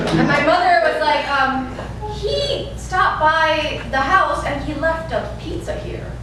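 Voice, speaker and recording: A woman speaks with an American accent at a fairly slow pace. Noticeable background noise is present. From Tennessee, USA. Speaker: stand-up comedian. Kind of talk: live stand-up storytelling. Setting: live venue with audience.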